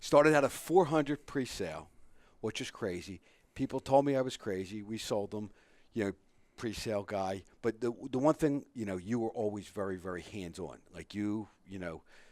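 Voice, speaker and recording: Lively intonation and big swings in loudness from a man with a fairly low pitch, at a moderate pace, on a very clean recording with a silent background. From Philadelphia. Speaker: radio host. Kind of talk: casual chat. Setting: radio studio.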